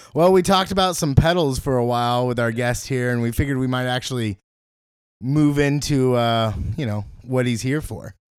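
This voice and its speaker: In a very clean recording with a silent background, a man with a medium pitch talks at a moderate pace in a normal speaking voice. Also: ordinary pitch variation. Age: 30s. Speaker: podcast co-host. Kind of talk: casual chat. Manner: frequent laughter.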